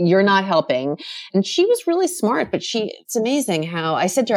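On a very clean recording with a silent background, a woman with a normal speaking voice and an American accent talks fairly quickly at a medium pitch. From New York, Rockland County. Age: 50s. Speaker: author and entrepreneur. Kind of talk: interview.

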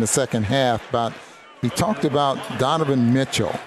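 A man is speaking with ordinary pitch variation. Noticeable background noise can be heard. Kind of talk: basketball color commentary, analyzing play. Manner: conversational, analytical.

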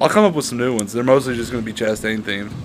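Against noticeable background noise, a man talks at a very fast pace and medium pitch with fairly even intonation. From Kentucky. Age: 20s. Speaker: podcast co-host. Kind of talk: casual chat.

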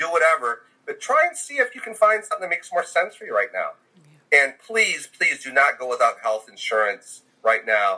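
With an American accent, a man speaks at a moderate pace, his loudness swinging widely. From Michigan, US. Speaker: health insurance agent. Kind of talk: casual interview.

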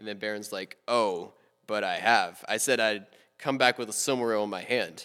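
A man with an American accent talks at a moderate pace in a fairly low pitch, his intonation fairly even. He has an unremarkable speaking voice. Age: 20s. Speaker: college student. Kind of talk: casual chat.

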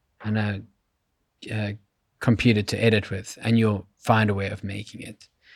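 Over a silent background in a very clean recording, a man with a fairly low voice speaks at a moderate pace with flat, monotone intonation. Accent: South African. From South Africa. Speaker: creative director and YouTuber. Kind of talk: casual interview.

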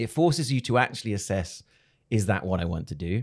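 The speaker talks at a fairly quick pace on a very clean recording with a silent background. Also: man. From England. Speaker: video creator, former model and TV presenter. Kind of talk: interview.

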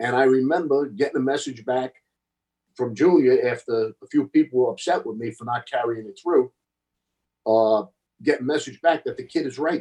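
A man with a New York accent and a dark, mellow tone speaks at a medium pitch and a moderate pace, with ordinary pitch variation. Loudness swings widely, and the sound is dry and close with no echo. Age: 60s. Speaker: former mobster. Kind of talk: casual chat. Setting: video call.

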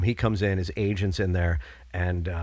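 Speaking at a moderate pace, a man with a very deep, low pitch sounds somewhat breathy on a very clean recording with a silent background. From upstate New York (Binghamton). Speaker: school teacher and comedian. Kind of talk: casual chat.

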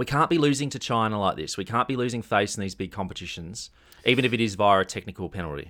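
A man with an Australian accent speaks very fast at a medium pitch, his intonation lively and his tone bright and sharp. The recording is very clean, with a silent background. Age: 30s. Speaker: podcast host. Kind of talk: comedic casual chat.

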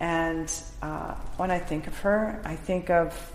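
A woman's voice carries audible room echo along with noticeable background noise. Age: 50s. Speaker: mixed-media artist. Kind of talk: casual interview. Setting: art gallery.

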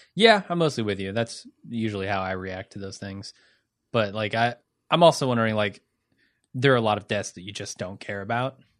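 With an American accent, a man talks at a fairly quick pace in a fairly low pitch with ordinary pitch variation. The background is quiet. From US Midwest (Cincinnati). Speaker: podcast co-host. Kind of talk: casual chat. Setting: studio.

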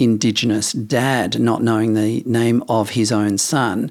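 A speaker with an Australian accent is heard on a very clean recording with a silent background. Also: man. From Western Australia, Perth. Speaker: podcast co-host. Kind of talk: casual chat. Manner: laid-back.

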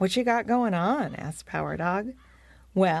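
The reading aloud is plain, with lively intonation.

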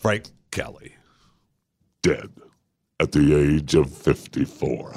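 Putting on a character voice, a man speaks very slowly in a very deep, low register. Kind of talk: formal, grave, announcer.

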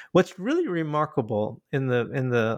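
In a dry, close sound with no echo, a man with an American accent speaks at a medium pitch. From Michigan, US. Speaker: English professor and author. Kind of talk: interview. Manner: halting, many fillers.

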